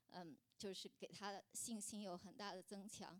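A woman's fairly high voice at a moderate pace. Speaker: churchgoer sharing as a mother. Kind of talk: testimony. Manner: halting.

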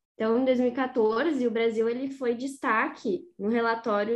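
Music plays in the background while a woman speaks at a fairly slow pace in a fairly high voice. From Rosário do Sul, Rio Grande do Sul, Brazil. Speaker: agronomy student co-host. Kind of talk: interview questions.

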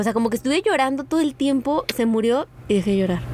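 Lively intonation from a woman at a moderate pace, with noticeable background noise behind her. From Mexico, San Luis Potosí. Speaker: travel photographer and podcaster. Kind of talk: casual chat. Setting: outdoors by the sea in a camper van.

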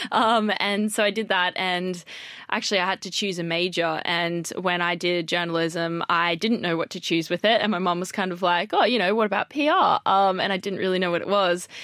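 Bright, sharp tone from a woman with an Australian accent, medium pitch, fairly even intonation, a fairly quick pace and hardly any pauses, in a very clean recording with a silent background. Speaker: PR professional. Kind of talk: casual chat. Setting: studio.

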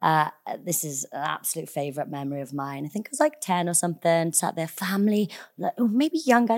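A woman's medium-pitched voice with lively intonation in a very clean recording with a silent background. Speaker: actor. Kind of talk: casual chat. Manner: animated.

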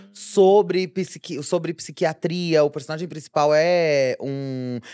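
With a Brazilian accent, a woman speaks with ordinary pitch variation on a very clean recording, silent in the background and dry and close with no echo. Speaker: podcast co-host, nurse. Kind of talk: casual chat.

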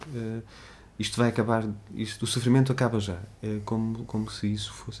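A male speaker keeps a medium pitch and a moderate pace. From Portugal, Trás-os-Montes. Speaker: writer. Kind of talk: casual interview. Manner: halting, many repetitions.

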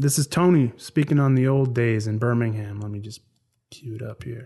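A man with a Canadian accent and a dark, mellow tone at a fairly quick pace against a quiet background. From Canada. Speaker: podcast host. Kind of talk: casual monologue. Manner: animated.

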